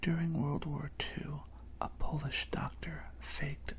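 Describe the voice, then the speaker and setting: The speaker whispers softly at a fairly slow pace. Noticeable background noise can be heard. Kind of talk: ASMR random-facts bedtime narration. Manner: soft, whispered.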